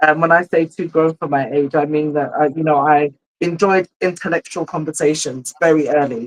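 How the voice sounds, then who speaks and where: At a moderate pace, a woman with a very deep, low pitch speaks with fairly even intonation in a dry, close sound with no echo. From England, Ghanaian family. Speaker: mental health mentor, single mother. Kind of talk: interview conversation. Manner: hesitant, many fillers.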